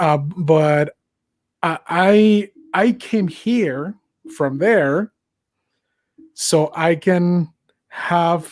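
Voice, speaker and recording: A speaker with a Mexican accent goes at a very slow pace with long, frequent pauses. The sound is dry and close, with no echo. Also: man, high pitch for a man, ordinary pitch variation. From Mexico. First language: Spanish. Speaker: podcast host. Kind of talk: casual political discussion. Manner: halting, many fillers.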